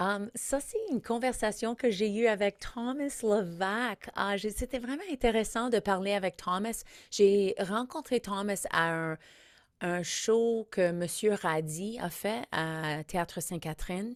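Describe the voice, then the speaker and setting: A woman with an English accent speaks at a very slow pace and medium pitch. The recording is very clean with a silent background and a dry, close sound with no echo. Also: ordinary pitch variation. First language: English (speaking French). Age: 50s. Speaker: comedian and podcast host. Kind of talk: podcast intro monologue. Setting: studio.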